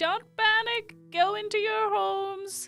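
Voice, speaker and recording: An extremely high, squeaky put-on character voice, loud and shouting at a fairly slow pace, with faint music in the background. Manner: yelling, loud.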